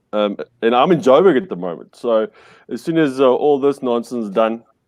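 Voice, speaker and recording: A man with an Afrikaans South African accent talks at a fairly quick pace, his medium-pitched voice carrying lively intonation. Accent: Afrikaans farm-boy South African. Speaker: podcast guest, media entrepreneur. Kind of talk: casual chat. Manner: halting, many fillers and restarts.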